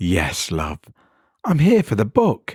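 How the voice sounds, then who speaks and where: On a very clean recording with a silent background, a man uses a put-on character voice that is warm in tone, raspy and medium in pitch. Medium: read story. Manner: homely and warm, calls him love.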